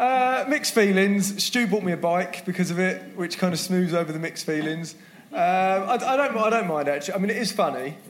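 A high-pitched man's voice at a fairly quick pace, lively intonation, and noticeable background noise. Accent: British. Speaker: retail business manager.

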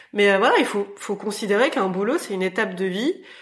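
Fairly quick speech from a woman, noticeable background noise underneath. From rural France. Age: 40s. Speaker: fashion entrepreneur. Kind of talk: interview. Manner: hesitant, many fillers.

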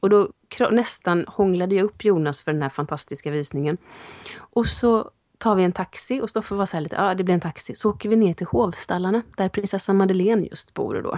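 An ordinary speaking voice moves at a fairly quick pace with ordinary pitch variation, the sound dry and close with no echo. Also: woman, medium pitch for a woman. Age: 40s. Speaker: actress and podcast co-host. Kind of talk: casual chat.

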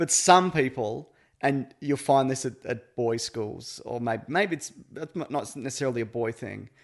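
Here a man has an ordinary speaking voice at medium pitch, with ordinary pitch variation. He keeps a moderate pace against a quiet background. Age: 30s. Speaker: podcaster, dad.

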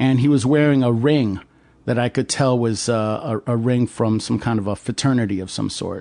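Against a quiet background, a voice with an American accent speaks in a dark, mellow tone with fairly even intonation. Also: man, medium pitch for a man, moderate pace. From upstate New York. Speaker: adventurer. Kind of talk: casual chat. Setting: host's home.

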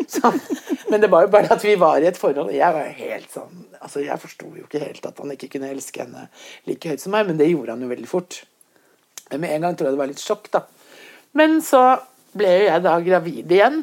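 Speaking at a fairly quick pace, a woman uses a fairly low pitch. Her voice makes very wide pitch swings and big swings in loudness. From Bergen, western Norway. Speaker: visual artist. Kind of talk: casual interview chat. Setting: in her kitchen at home.

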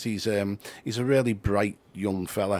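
Medium-pitched male voice at a moderate pace in a very clean recording with a silent background. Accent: Liverpool. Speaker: football writer. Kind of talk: casual chat. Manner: halting.

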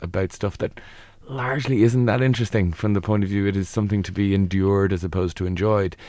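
Speaking very fast in an Irish accent, a man with a fairly low pitch keeps his intonation fairly even on a very clean recording with a silent background. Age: 40s. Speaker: psychologist. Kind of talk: advice interview.

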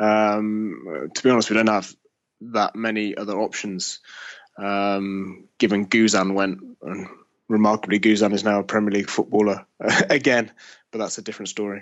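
Here is a man with an unremarkable speaking voice and fairly low pitch. His pace is moderate and his intonation fairly even. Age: 30s. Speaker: sports journalist. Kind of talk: casual chat.

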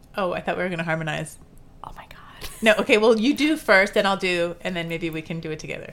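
Words come at a very fast pace. There is noticeable background noise. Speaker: podcast host. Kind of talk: casual chat.

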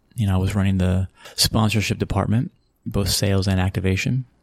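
Somewhat breathy, a man speaks with an American accent at a fairly low pitch. His pace is very fast. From Texas (Abilene, San Antonio). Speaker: sports marketing executive. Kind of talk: interview.

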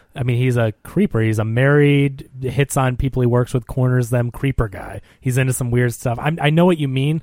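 A man speaks in an unremarkable speaking voice at medium pitch, keeping a moderate pace with hardly any pauses and fairly even intonation. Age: 30s. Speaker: film podcast co-host. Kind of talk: casual chat.

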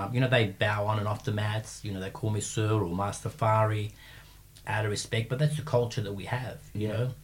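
Somewhat breathy and fairly low, a man's voice carries an Australian accent with fairly even intonation. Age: 50s. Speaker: martial arts coach and gym owner. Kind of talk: casual interview chat. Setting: studio.

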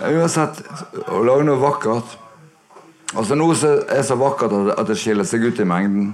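With lively intonation and very even loudness, the speaker talks in a Bergen accent over noticeable background noise. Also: man, fairly high pitch for a man, moderate pace. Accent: Bergen Norwegian. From Bergen, Norway. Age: 60s. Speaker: guitarist and producer. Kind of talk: live interview. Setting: record shop with live audience. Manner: soft-spoken.

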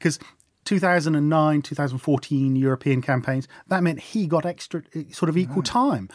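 The speaker has a British accent and talks at a moderate pace with ordinary pitch variation. Loudness stays very even, and the recording is very clean with a silent background. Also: man, fairly high pitch for a man. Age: 40s. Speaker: political journalist and author. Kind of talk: casual chat.

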